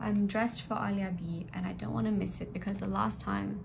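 Over noticeable background noise, a woman speaks at a fairly low pitch with very wide pitch swings. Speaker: vlogger. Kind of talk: casual vlog chat. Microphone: phone near.

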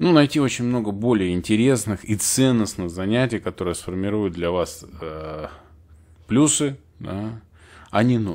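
Using lively intonation, a man talks at a fairly slow pace with a fairly low pitch and long, frequent pauses. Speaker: IT and organizational development consultant, channel host. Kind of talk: solo educational talk to camera. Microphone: new studio recording system.

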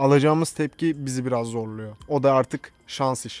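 A man's fairly high voice, fairly quick, with ordinary pitch variation and a dry sound with no echo. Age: 20s. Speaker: YouTuber. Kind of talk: casual Q&A video. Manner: casual, frequent laughter. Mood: playful, joking. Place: garden. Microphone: studio mic.

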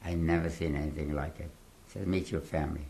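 Very deep and low in pitch, a man's voice comes through with vocal fry. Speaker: Holocaust survivor giving testimony. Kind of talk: interview answer, oral history testimony. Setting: interview in a home or studio, recorded 2017.

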